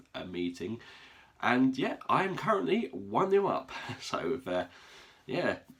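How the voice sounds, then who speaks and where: Against noticeable background noise, a man at medium pitch swings his pitch very widely and leaves long, frequent pauses. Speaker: football fan vlogger. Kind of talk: casual video monologue. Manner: halting, many fillers.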